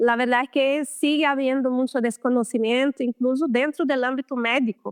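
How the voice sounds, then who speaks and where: A woman with a high pitch and a Brazilian accent speaks at a moderate pace, with very even loudness and fairly even intonation. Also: hardly any pauses. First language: Portuguese (speaking Spanish). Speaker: lymphatic therapist. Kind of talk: interview.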